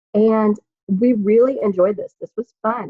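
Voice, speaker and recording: Somewhat breathy, a woman talks at a medium pitch. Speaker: network marketing team leader. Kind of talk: training talk over video call. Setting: video call. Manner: fast.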